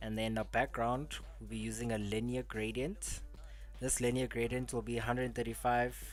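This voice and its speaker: Background music beneath a male voice at a middling tempo. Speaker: coding tutor livestreamer. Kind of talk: live coding tutorial. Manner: casual, halting with fillers.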